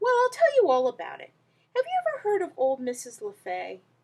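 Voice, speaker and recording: This put-on character voice is squeaky, with very wide pitch swings and big swings in loudness. It moves at a fairly quick pace. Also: woman, extremely high pitch for a woman. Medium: read story. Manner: oily, ingratiating.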